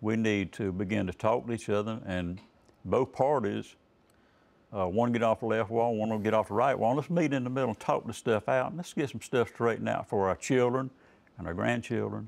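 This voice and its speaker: Fairly quick delivery from a man at a medium pitch, the pitch varying in an ordinary way. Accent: North Carolina. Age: 70s. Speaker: political candidate. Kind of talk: TV interview. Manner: laid-back; hesitant, many fillers.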